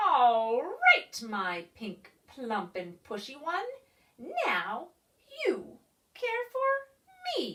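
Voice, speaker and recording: In a put-on character voice, a woman cackles at a very slow pace. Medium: read story. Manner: cackling, bossy.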